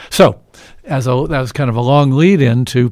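An unremarkable speaking voice from a man with an American accent, fairly high in pitch, at a moderate pace. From Evansville, Indiana. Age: 60s. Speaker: physician and health care advocate. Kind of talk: radio interview. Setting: studio.

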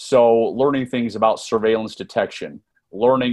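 A man's normal speaking voice with an American accent, medium pitch and a fairly quick pace. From US, Northern Virginia. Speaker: former intelligence officer and author. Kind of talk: interview.

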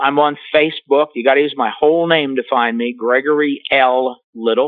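An unremarkable speaking voice from a man with a fairly high pitch moves at a moderate pace with ordinary pitch variation. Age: 60s. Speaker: psychologist and author. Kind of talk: interview.

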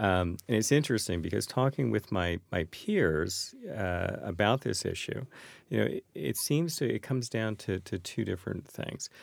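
A man speaks at a fairly low pitch with vocal fry and lively intonation, keeping a moderate pace. The recording is very clean, with a silent background. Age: 50s. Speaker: wealth management firm founder. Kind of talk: panel podcast discussion. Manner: halting, repeats words.

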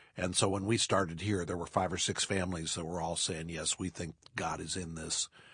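In a very deep, low voice, a man talks at a fairly quick pace with hardly any pauses. His intonation is monotone and flat against a quiet background. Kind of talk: casual interview. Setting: studio.

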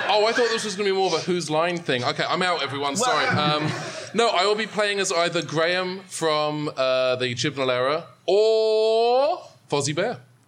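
The speaker has a British accent and lively intonation at a moderate pace. Noticeable background noise runs under the voice. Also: man, high pitch for a man. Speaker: role-playing podcast co-host. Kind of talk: live improvised role-play. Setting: stage with live audience. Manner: comic vaudevillian character voice.

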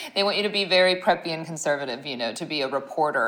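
Speaking at a very fast pace is a woman. Her pitch is very deep and low. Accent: American. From US Midwest, Ohio. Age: 30s. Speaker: skincare company founder. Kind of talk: interview.

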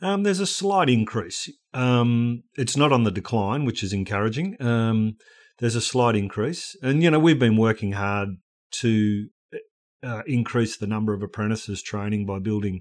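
On a very clean recording with a silent background, a man with an Australian accent talks at a moderate pace, his fairly low pitch showing ordinary variation. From rural Australia. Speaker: ministry organisation director. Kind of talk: podcast interview.

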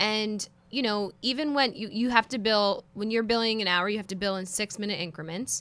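A woman with a Philadelphia accent, fairly high in pitch, bright and sharp in tone, at a fairly quick pace with hardly any pauses and ordinary pitch variation. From Philadelphia, US. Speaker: in-house counsel. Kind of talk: casual chat.

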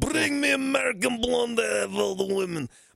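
Using a put-on character voice with an Eastern European accent, a man speaks at a moderate pace in an extremely high pitch. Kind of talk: bad, stereotyped imitation.

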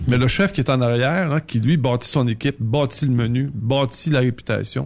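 Speaking with a Quebec accent, a man keeps a medium pitch and ordinary pitch variation. His pace is moderate, and the recording is very clean with a silent background. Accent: Québécois French. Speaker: trucking recruiter and dating guest. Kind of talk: casual chat. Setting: studio.

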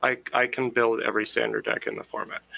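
A man talks at a fairly quick pace. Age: 30s. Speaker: card game player and aspiring game designer. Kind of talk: casual chat.

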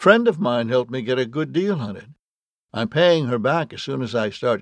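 Against a quiet background, the speaker is reading aloud in a natural voice with lively intonation.

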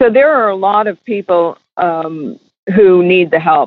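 In an American accent, a woman speaks at a fairly slow pace with a fairly low pitch. Hers is an unremarkable speaking voice with ordinary pitch variation. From New York. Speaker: charity founder. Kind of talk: interview.

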